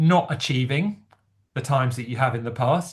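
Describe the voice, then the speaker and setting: The man's voice sits at a fairly high pitch and sounds somewhat breathy. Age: 60s. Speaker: amateur runner and chat host. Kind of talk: casual chat. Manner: halting.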